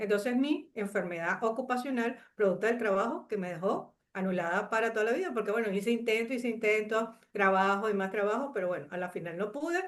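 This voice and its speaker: With a Venezuelan accent, a woman talks at a fairly quick pace and hardly pauses. Her pitch varies in an ordinary way. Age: 60s. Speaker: chemist and coach sharing life story. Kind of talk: interview testimony. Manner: hesitant with many fillers.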